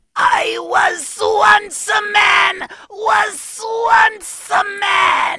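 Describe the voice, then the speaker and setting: Shouting in a put-on character voice at an extremely high pitch, the speaker goes at a very slow pace with a theatrical tone. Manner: hissing, theatrical.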